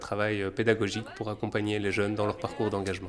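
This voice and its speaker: There is noticeable background noise here. A man talks with a fairly low pitch. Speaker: workshop facilitator. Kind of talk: giving instructions for a role-play.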